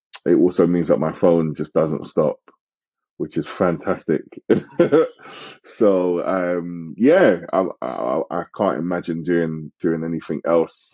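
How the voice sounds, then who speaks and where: A man with a British accent has a very deep, low pitch. He speaks very slowly with fairly even intonation. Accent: UK. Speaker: sales and operations director. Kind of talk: interview answer.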